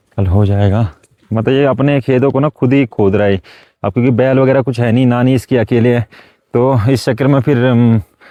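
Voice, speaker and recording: At a moderate pace, a man with a medium pitch and a dark, mellow tone speaks with fairly even intonation and very even loudness in a dry, close sound with no echo. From Uttarakhand hills, Garhwal-Kumaon border. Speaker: village vlogger. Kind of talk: casual talk to camera.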